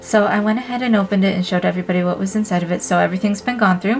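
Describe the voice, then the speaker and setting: Music can be heard in the background. Over it, a woman talks with an American accent. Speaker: art youtuber and live streamer. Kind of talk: unboxing review. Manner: casual, filler-heavy.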